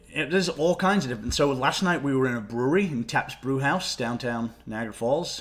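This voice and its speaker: The speaker has an English accent and talks at a fairly quick pace with ordinary pitch variation. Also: man. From Nottingham, England, moved to Canada at 13. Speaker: stand-up comedian. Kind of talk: casual chat. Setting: podcast interview.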